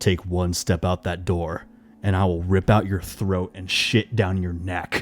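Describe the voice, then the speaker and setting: In a put-on character voice, a man delivers very deep, low-pitched lines with a menacing tone, a fairly slow pace and monotone, flat intonation, on a very clean recording with a silent background. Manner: menacing, threatening.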